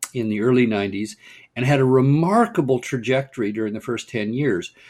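The speaker is a man with an American accent. His pitch sits in the medium range. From US West Coast, Pasadena, California. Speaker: urban planning nonprofit director, former mayor. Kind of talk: podcast interview.

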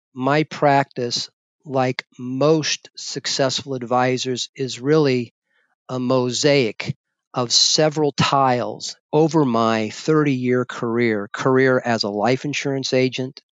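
Speaking at a very slow pace, a man uses medium pitch. His delivery is unhurried throughout. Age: 60s. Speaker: financial advisor. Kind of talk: interview.

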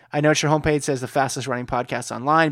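On a very clean recording with a silent background, a man speaks at a very fast pace in a monotone, flat intonation. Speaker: podcast host. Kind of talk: casual chat. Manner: fast talker.

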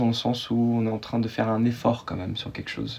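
A man rattles along very fast at a medium pitch. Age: 20s. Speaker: guest sharing personal story. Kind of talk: interview, personal testimony. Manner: hesitant, many fillers and repetitions.

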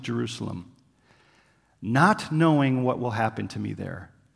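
A plain, everyday voice from a man at a medium pitch, with a moderate pace and ordinary pitch variation. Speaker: missionary preacher. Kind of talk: sermon. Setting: church. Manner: casual, conversational.

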